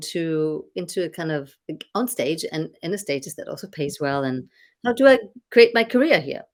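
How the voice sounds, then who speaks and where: In a very clean recording with a silent background, a woman with a German accent talks at a moderate pace with very wide pitch swings. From Germany. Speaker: business coach and former singer. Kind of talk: casual chat. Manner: animated.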